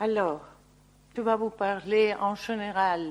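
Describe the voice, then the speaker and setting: This is a woman speaking. Her pitch is medium. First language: Spanish (speaking French). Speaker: landscape architect. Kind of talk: lecture. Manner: halting.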